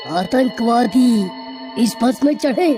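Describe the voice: A cartoonish character voice moves along at a fairly slow pace with clear music in the background.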